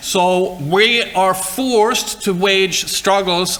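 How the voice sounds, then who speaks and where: A man with a high pitch speaks in a raised, projected voice. Noticeable background noise and audible room echo surround him. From Sweden. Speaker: university lecturer. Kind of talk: lecture. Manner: halting.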